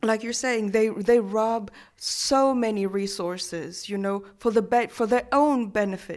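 A woman with an unremarkable speaking voice speaks fairly slowly with hardly any pauses, her fairly high pitch kept to fairly even intonation. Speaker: festival volunteer. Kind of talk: radio panel discussion. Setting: radio studio.

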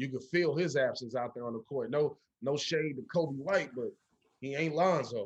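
A man speaks at a fairly high pitch. His pitch variation is ordinary. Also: moderate pace. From Chicago. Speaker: actor. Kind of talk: casual interview.

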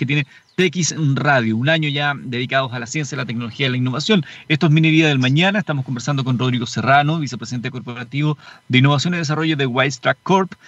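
In a Chilean accent, a man talks very fast at a fairly high pitch with an upbeat tone. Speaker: radio host. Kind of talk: radio DJ patter. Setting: car mobile studio, live. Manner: upbeat, brisk radio-announcer delivery with time checks.

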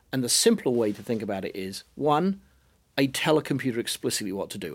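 Someone with a British accent talks at a fairly quick pace in a very clean recording with a silent background. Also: man. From Britain. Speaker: business lecturer and consultant. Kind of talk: panel discussion.

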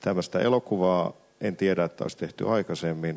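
A man at a moderate pace, very deep, low pitch, with a dry, close sound and no echo. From Finland, Sysmä. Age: 40s. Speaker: film director. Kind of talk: panel discussion at a live event. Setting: stage with audience.

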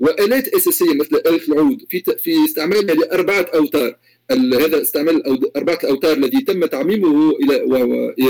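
A man talks at a moderate pace with very even loudness and hardly any pauses. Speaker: musicologist and music professor. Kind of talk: interview about academic research. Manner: formal; halting, with repetitions.

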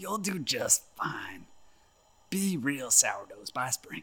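A man uses a put-on character voice, high pitched and raspy. He speaks very slowly. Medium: audio drama. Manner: folksy, polite, says ma'am.

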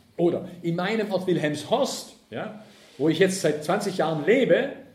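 A man talks at a fairly slow pace with ordinary pitch variation. Audible room echo surrounds his voice. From southern Germany, Ravensburg near Lake Constance. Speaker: left-wing transport and environmental activist speaker. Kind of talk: public lecture.

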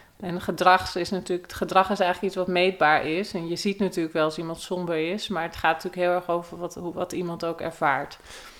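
Against noticeable background noise, a woman talks at a very fast pace with hardly any pauses and a monotone, flat intonation. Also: fairly low pitch for a woman. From Netherlands, North/South Holland border near Aalsmeer. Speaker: cognitive neuroscientist. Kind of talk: interview. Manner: halting.

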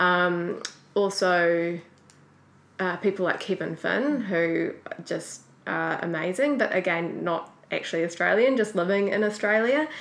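A woman speaks with a New Zealand accent at a medium pitch. Her pace is fairly slow, with ordinary pitch variation. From New Zealand, Auckland. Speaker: graphic designer. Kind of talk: interview.

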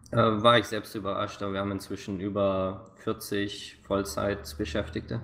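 A man with an ordinary speaking voice, fairly low in pitch, at a fairly slow pace with fairly even intonation and hardly any pauses. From Swabia, southern Germany (near Stuttgart). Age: 20s. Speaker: game producer. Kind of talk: interview.

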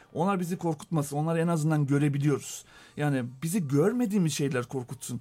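In a very clean recording with a silent background, a man speaks at a fairly quick pace. His pitch is fairly high with ordinary variation, and his tone is dark and mellow. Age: 40s. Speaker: data company co-founder. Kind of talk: radio interview.

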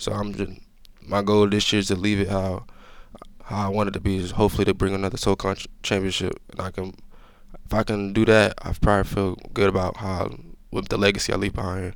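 A man rattles along at a very fast pace in a fairly low, flat monotone. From Georgia (Gwinnett County, metro Atlanta). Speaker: college football player. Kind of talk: interview. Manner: casual.

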